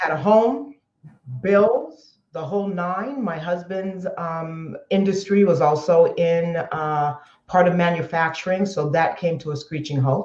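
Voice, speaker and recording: Somewhat breathy, a woman with an American accent speaks at a fairly slow pace, her fairly low pitch moving with ordinary variation. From Southern California. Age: 60s. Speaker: entrepreneur. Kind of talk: interview.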